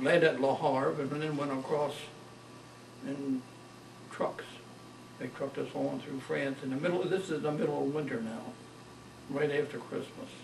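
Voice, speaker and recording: A man talks at a fairly slow pace in an American accent, his pitch fairly high. There is noticeable background noise. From Maryland, USA. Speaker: World War II veteran. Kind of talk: oral history interview answer.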